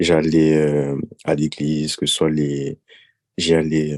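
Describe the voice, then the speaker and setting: A man's very deep, low voice in a flat monotone. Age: 20s. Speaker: podcast guest. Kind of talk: personal testimony.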